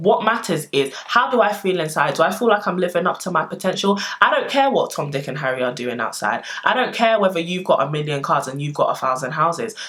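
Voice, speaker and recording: Noticeable background noise sits behind a woman of medium pitch talking at a fairly quick pace. Her tone is animated, with very wide pitch swings. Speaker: lifestyle vlogger. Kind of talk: personal vlog monologue.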